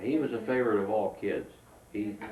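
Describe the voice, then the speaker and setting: Against noticeable background noise and audible room echo, a man talks at a fairly slow pace. His intonation stays fairly even. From southern Illinois. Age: 70s. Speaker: war veteran. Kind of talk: oral history interview. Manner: halting.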